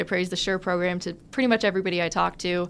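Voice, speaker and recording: An unremarkable speaking voice from a woman at medium pitch with fairly even intonation, on a very clean recording with a silent background. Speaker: engineering student. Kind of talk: casual interview.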